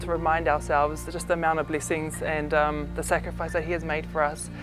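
A woman talks at a very fast pace. Clear music plays in the background. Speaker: interviewee. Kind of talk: interview answer. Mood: warm, sincere. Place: gym.

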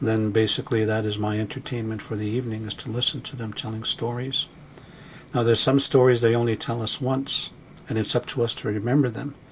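A man speaks at a fairly quick pace in a calm, somewhat breathy voice with fairly even intonation over light background noise. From Blackfoot, Canada. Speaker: Blackfoot elder and storyteller. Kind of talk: documentary narration, reflective talk on storytelling. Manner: calm, measured, reflective. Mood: calm, reflective. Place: studio.

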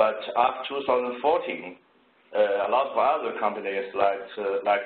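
In a Chinese accent, a man speaks at a moderate pace with fairly even intonation, with audible room echo in the recording. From China. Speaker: engineer; presenter. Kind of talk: presentation. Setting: video call. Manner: halting. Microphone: video call.

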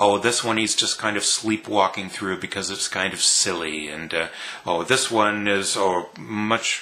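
With fairly even intonation, a man speaks in a plain, everyday voice at a fairly low pitch. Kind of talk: casual vlog chat. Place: home room. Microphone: webcam.

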